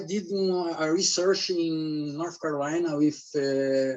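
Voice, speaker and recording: Fairly high-pitched for a man, he speaks with a Brazilian Portuguese accent and fairly even intonation. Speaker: academic researcher. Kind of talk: conference presentation. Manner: halting.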